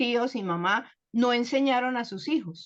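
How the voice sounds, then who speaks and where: In a Bogotá accent, a woman speaks fairly slowly at a fairly high pitch with ordinary variation, against a quiet background. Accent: Bogotá Colombian Spanish. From Colombia, Bogotá. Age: 70s. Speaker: guest speaker sharing life story. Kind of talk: personal testimony.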